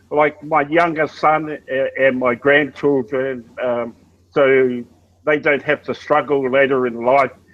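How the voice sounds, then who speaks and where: Speaking with an Australian accent is a man. He talks rather unhurriedly. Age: 60s. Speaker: network marketing member. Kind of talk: casual chat. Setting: video call.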